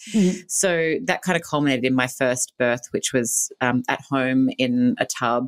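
With an Australian accent, a woman speaks in a very deep, low voice at a moderate pace with ordinary pitch variation and hardly any pauses, recorded very cleanly against a silent background with a dry, close sound and no echo. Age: 40s. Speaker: businesswoman and author. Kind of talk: interview.

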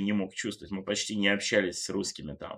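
On a very clean recording with a silent background, a man speaks at a fairly low pitch with a bright, sharp tone. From Germany and Great Britain (left Russia at six). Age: 30s. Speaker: fashion journalist. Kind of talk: casual interview chat.

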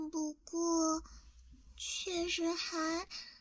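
Extremely high in pitch, a woman speaks very slowly in a dramatic, theatrical tone. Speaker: ASMR voice actress. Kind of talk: roleplay ASMR drama, playing a loli vampire. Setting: studio, close-mic ASMR. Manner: animated, haughty-cute tsundere, pouting and flustered, sudden shifts from proud to shy; dramatic and theatrical, breathy giggles and soft whispers close to the mic.

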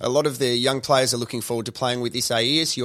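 Very fast speech from a man with a bright, sharp tone. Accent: Australian. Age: 30s. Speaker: podcast host. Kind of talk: casual interview. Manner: animated.

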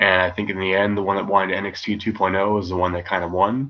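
At a moderate pace, a man speaks in a normal speaking voice pitched fairly low. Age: 30s. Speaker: professional wrestler. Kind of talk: casual interview.

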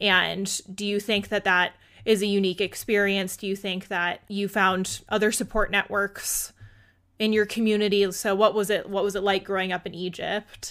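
A woman speaks at a moderate pace and a medium pitch, in an unremarkable speaking voice. The recording is very clean, with a silent background. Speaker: podcast host. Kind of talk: scripted intro then interview chat. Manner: upbeat and warm.

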